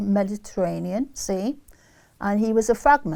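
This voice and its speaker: A woman's medium-pitched voice with an English Midlands accent, fairly slow in pace, dark and mellow in tone. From England, Leicester. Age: 80s+. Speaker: interviewee recalling wartime childhood. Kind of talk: oral history interview.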